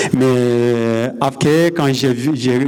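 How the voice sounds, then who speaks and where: A man at a medium pitch is heard with audible room echo and noticeable background noise. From Nepal. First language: Nepali or Sherpa (speaking French). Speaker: mountain guide. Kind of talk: conference talk. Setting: stage with audience. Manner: halting.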